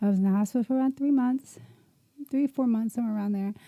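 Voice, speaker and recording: In a dry, close recording with no echo, a woman speaks with a fairly high pitch, a dark, mellow tone and a somewhat breathy quality. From US Northeast, Camden, New Jersey. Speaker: podcast host. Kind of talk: personal life story, testimony. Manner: casual, conversational.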